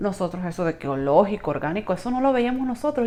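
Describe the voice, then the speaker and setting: The speaker has a Venezuelan accent and talks at a very fast pace. The pitch swings very widely. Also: woman. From Venezuela (Trujillo, rural Andes). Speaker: network marketing distributor. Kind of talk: product review vlog, casual. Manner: chatty, informal, with hesitations.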